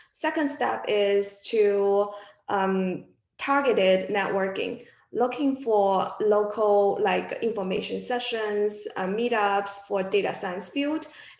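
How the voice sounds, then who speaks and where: A woman's very slow speech is carried by audible room echo. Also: medium pitch for a woman, ordinary pitch variation. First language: not English. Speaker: physics alumna working in data science. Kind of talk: panel discussion. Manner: halting.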